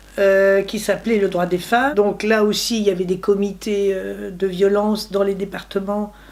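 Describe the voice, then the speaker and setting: A woman of medium pitch at a fairly slow pace, with noticeable background noise. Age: 60s. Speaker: retiree. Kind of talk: interview testimony.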